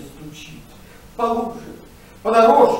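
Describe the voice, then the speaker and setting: Noticeable background noise sits behind a man's speaking voice. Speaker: musical theatre singer. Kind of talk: poetry reading.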